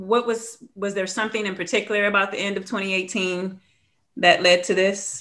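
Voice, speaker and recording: Using a normal speaking voice, a woman keeps a medium pitch and fairly even intonation at a moderate pace. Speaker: podcast host. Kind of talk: casual interview.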